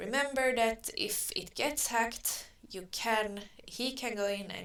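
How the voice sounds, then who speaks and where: This woman speaks with a non-native accent. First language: not English. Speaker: online advertising tutor. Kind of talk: tutorial. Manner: slow; halting.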